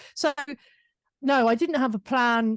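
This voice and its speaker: A woman with a British accent and ordinary pitch variation, dry and close with no echo. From UK. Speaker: business owner and author. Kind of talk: interview conversation.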